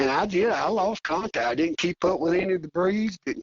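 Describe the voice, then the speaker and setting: Fairly quick speech from a man with a Southern US accent. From Arkansas. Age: 60s. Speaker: coonhound hunter. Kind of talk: casual interview chat.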